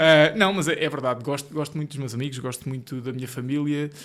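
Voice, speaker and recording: A fairly quick voice in a central Portugal accent with ordinary pitch variation, on a very clean recording with a silent background. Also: man. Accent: European Portuguese, central Portugal. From Portugal, Ribatejo (born Marinha Grande). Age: 20s. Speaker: solicitor and business co-founder. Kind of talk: podcast interview. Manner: casual, joking.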